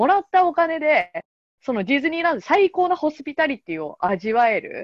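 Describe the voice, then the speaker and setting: At a fairly quick pace, a woman speaks with a high pitch and very wide pitch swings. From Japan, Yokohama. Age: 30s. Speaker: podcast host. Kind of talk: casual chat.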